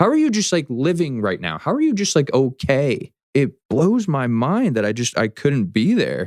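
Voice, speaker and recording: His pitch swinging very widely, a man talks at a moderate pace. The recording is very clean with a silent background, and the sound is dry and close with no echo. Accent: American. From south Florida, US. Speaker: person in addiction recovery. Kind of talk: interview testimony. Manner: casual, animated.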